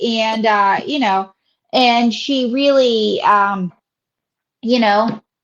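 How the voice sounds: Very slow pace with ordinary pitch variation, in an American accent. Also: woman, fairly high pitch for a woman.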